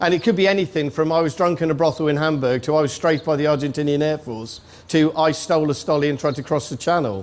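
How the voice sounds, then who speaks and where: In a British accent, a man talks at a very fast pace with hardly any pauses, his fairly high pitch showing ordinary variation. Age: 60s. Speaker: army veteran and author. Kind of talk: speech. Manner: animated.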